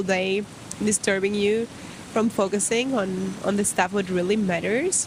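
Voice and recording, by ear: A woman's voice at medium pitch with ordinary pitch variation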